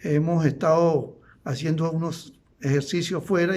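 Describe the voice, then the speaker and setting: Here a man speaks in a dark, mellow, somewhat breathy tone. Room echo can be heard. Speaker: law lecturer. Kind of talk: lecture.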